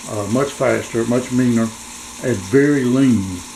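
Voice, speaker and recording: Amid noticeable background noise and audible room echo, a man speaks at a fairly slow pace with fairly even intonation. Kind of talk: casual vlog. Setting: home kitchen.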